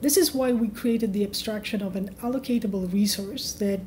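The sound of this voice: A woman speaks at medium pitch and a moderate pace. Her tone is dark and mellow, her intonation fairly even.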